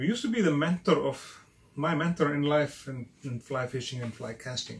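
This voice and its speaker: This man has a fairly high pitch and a somewhat breathy voice, with an Icelandic accent. He talks at a moderate pace with ordinary pitch variation. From Iceland, Westfjords. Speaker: fly tying channel host. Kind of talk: casual video intro talk. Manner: halting.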